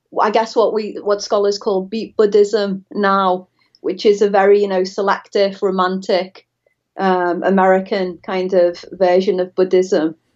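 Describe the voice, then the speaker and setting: A woman speaks with a Liverpool accent at a fairly slow pace. Her medium-pitched voice has monotone, flat intonation. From northern England, Liverpool. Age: 40s. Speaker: professor of religious studies. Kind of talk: interview. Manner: hesitant, many fillers.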